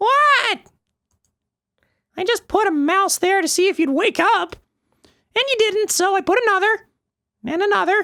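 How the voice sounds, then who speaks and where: Squeaky and extremely high-pitched, a female-sounding put-on character voice moves at a moderate pace with long, frequent pauses. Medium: game stream. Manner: teasing.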